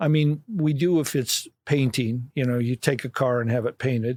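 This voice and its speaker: A man with a Midwestern US accent at a moderate pace, fairly even intonation, and a dry, close sound with no echo on a very clean recording with a silent background. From Illinois, Kankakee County. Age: 60s. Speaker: vehicle collection curator. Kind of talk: casual chat. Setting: podcast recording.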